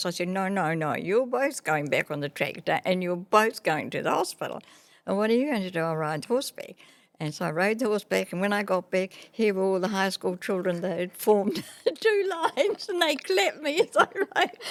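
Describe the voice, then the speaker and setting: A woman with a New Zealand accent speaks at a medium pitch. Her intonation is lively and her pace fairly quick. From New Zealand, Māori. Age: 80s+. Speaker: retired teacher and businesswoman. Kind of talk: podcast interview answer.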